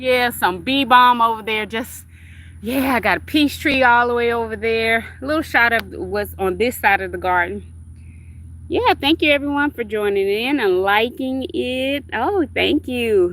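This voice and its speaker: Someone with a Southern US accent speaks at a fairly slow pace. The recording is very clean, with a silent background. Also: woman. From US South. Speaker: gardening livestreamer. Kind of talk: casual livestream chat. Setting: outdoors in garden. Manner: chatty, warm.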